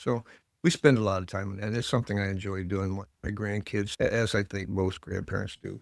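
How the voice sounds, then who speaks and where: On a very clean recording with a silent background, a man with a Midwestern American accent speaks at a fairly quick pace in a fairly low pitch, with fairly even intonation. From US Midwest, northern Ohio (Lorain County). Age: 70s. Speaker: village mayor, retired teacher. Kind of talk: interview. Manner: conversational.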